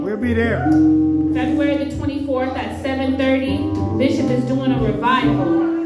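With loud music behind her and audible room echo, a woman speaks at a fairly slow pace. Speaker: church announcer. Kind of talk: church announcements. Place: church.

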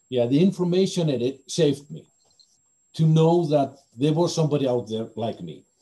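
This man's voice has a dark, mellow tone and is somewhat breathy. His pitch sits fairly high, and his intonation is lively. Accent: Icelandic. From Iceland. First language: Icelandic. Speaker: BDSM community organizer; interviewee. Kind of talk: interview. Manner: halting. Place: home room. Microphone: video call.

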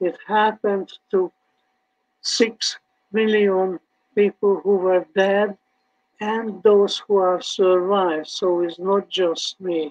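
In a Hungarian accent, a man with a high voice speaks at a very slow pace with fairly even intonation against a quiet background. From Hungary. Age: 80s+. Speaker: Holocaust survivor speaker. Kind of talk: testimony with audience Q&A. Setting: online video event. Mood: earnest, slightly wry. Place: home room.

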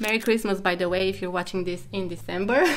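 A woman talks while clear music plays in the background. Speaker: web design tutorial creator. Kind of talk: tutorial. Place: home room.

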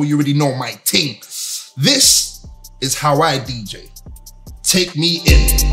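Long, frequent pauses break up the fairly slow, upbeat delivery. Faint music plays in the background. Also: man. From London. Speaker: radio DJ. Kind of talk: show intro to camera. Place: studio.

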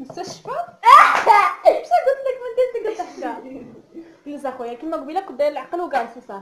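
A woman speaks at an extremely high pitch with very wide pitch swings and big swings in loudness, at a moderate pace. Long, frequent pauses break up her speech over noticeable background noise. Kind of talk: casual talk to camera. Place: home room. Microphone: camera far.

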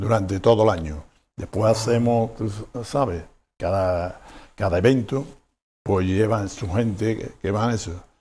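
The voice has a dark, mellow tone and is somewhat breathy. It moves at a fairly slow pace with ordinary pitch variation and long, frequent pauses. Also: man, fairly low pitch for a man. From Andalusia, Sierra de Huelva; Andalusia, Spain. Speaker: restaurant owner; interview guest. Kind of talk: interview. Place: studio. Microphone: lapel.

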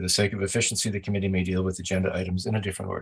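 The background is quiet. A man speaks in a fairly low pitch, somewhat breathy. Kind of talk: formal procedural reading. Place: home room. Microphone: video call.

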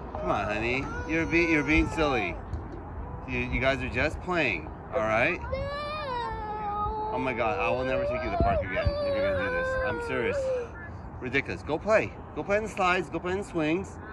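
The speech moves at a fairly quick pace, dry with no echo, against loud background noise. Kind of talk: casual talk to child. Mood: mildly exasperated, soothing. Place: street. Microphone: phone near.

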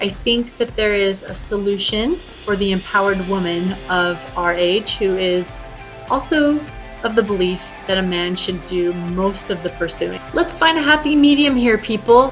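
A woman speaks at a moderate pace. Clear music plays in the background. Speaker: dating advice vlogger. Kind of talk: casual vlog chat. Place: home room. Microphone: webcam.

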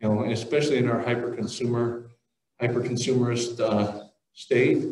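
A quiet backdrop behind reading aloud in a natural voice

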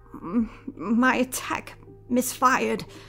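Shaky and delivered in a put-on character voice, the speech comes with light background noise. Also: woman, high pitch for a woman. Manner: quavering.

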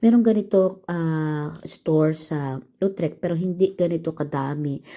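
Pitch shifts in an ordinary way. The tone is dark and mellow. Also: woman. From Philippines. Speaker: vlogger. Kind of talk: vlog narration. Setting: outdoors and in shops. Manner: casual, chatty.

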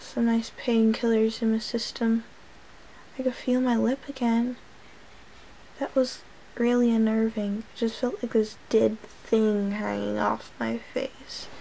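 A woman speaks at a fairly slow pace. Her intonation stays monotone and flat. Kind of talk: casual vlog chat. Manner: numb-mouthed, swollen-jaw slurred speech. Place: home room. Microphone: phone near.

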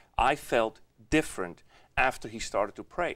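A man's voice with a quiet background. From Switzerland. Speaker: author; guest. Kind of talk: interview. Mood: reflective, earnest. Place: studio. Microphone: lapel.

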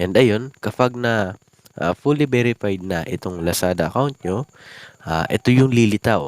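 A man with a fairly low pitch talks in a normal speaking voice, his intonation lively. He goes at a fairly slow pace, and the sound is dry and close with no echo. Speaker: YouTube vlogger. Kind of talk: tutorial. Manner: casual with many fillers.

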